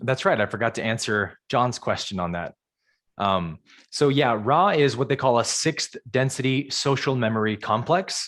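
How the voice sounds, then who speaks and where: A man's plain, everyday voice at medium pitch, with lively intonation, a moderate pace and an American accent. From US West Coast, San Jose California. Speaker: spiritual teacher. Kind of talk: live Q&A on a video call.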